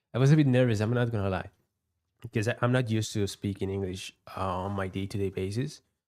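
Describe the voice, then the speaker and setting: In a very clean recording with a silent background, a speaker with a non-native accent talks at a very fast pace with fairly even intonation and long, frequent pauses. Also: man. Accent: non-native English, noticeable. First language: not English. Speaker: futures day trader, live streamer. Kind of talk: live trading stream commentary. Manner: halting, with repetitions and fillers.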